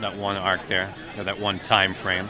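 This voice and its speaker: Over noticeable background noise, a man talks at a moderate pace and a fairly low pitch. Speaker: voice actor. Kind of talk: interview answer.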